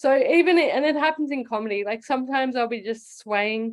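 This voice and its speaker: A woman with an Australian accent speaks with ordinary pitch variation. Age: 30s. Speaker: comedian. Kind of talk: casual chat. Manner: halting.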